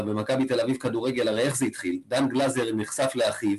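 A man's pitch varies in an ordinary way, with noticeable background noise underneath. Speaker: fan podcast co-host. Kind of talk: casual chat. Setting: video call.

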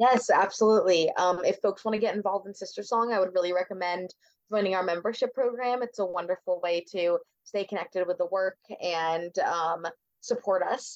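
This woman has an unremarkable speaking voice at medium pitch, with fairly even intonation. She talks at a fairly quick pace in a dry, close sound with no echo. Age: 20s. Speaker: reproductive justice advocate. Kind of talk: interview.

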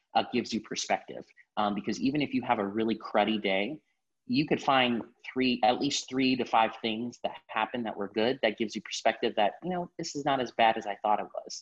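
Here a man speaks with an American accent in a plain, everyday voice. His medium pitch moves with ordinary variation at a fairly quick pace. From Miami, Florida. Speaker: marketing account executive. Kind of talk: casual interview.

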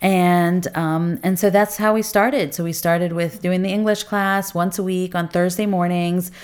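A woman with an American accent speaks at a medium pitch and a moderate pace. Her intonation is fairly even, and she barely pauses. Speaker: community volunteer, English class organizer. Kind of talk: interview storytelling. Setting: home basement studio.

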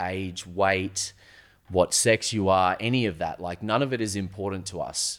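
Speaking at a moderate pace, a man talks in an Australian accent. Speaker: supplement store owner. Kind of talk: casual chat. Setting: studio.

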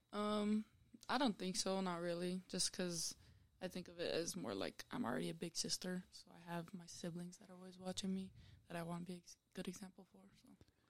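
A woman speaks in a normal speaking voice at medium pitch with fairly even intonation. Her loudness rises and falls sharply. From Utah. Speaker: college basketball player. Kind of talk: casual interview.

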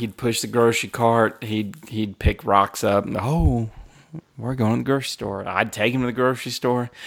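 In a normal speaking voice, a man holds a medium pitch and ordinary pitch variation. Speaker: podcast host. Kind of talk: casual chat.

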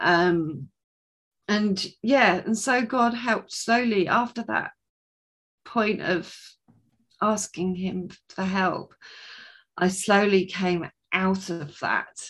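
Speaking very slowly with long, frequent pauses, a woman with a southern English accent uses a medium pitch and ordinary pitch variation. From southern England. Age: 30s. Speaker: author and coach. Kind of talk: casual interview, testimony.

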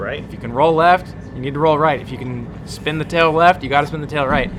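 A man at medium pitch, very fast pace, with noticeable background noise. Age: 20s. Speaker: RC helicopter pilot. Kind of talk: casual chat.

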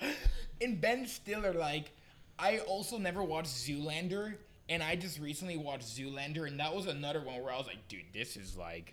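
A man with an American accent and a fairly high pitch talks at a fairly quick pace with lively intonation, amid audible room echo and noticeable background noise. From Miami, Florida. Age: 20s. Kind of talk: casual chat. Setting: house party.

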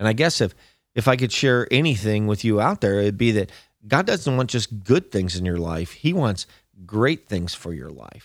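On a very clean recording with a silent background, a man with a plain, everyday voice speaks at a fairly low pitch with lively intonation. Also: moderate pace. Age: 50s. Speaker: pastor. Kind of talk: sermon. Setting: studio.

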